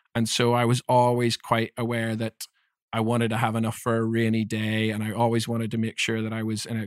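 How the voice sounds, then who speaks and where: With a Northern Irish accent, a man speaks at a fairly quick pace in a monotone, flat way, the sound dry and close with no echo. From Northern Ireland, Belfast. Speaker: leadership development coach. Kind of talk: interview conversation.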